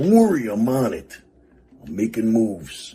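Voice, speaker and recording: A man puts on a character voice at a medium pitch. He keeps a moderate pace with lively intonation. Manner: cocky, boastful.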